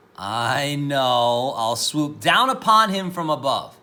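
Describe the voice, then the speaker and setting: Growling in a put-on character voice, a man talks at a fairly slow pace with a fairly high pitch. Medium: read story. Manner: menacing, gloating.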